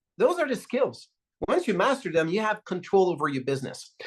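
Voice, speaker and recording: A man speaks with a Quebec accent. The background is quiet. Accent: Québécois French accent in English. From Quebec, Canada. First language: French. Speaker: network marketing leader. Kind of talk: motivational talk.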